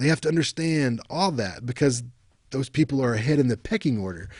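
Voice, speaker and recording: A man speaks with an American accent and ordinary pitch variation. The background is quiet, and the sound is dry with no echo. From West Virginia, Appalachia. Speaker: university lecturer. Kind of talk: recorded lecture. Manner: casual, halting with fillers. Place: home room. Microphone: webcam.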